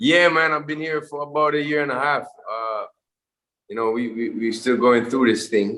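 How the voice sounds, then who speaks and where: With a Jamaican accent, a man speaks at a moderate pace in a fairly high voice, his tone bright and sharp and his pitch varying in an ordinary way. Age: 40s. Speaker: musician. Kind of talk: interview answer. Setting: video call.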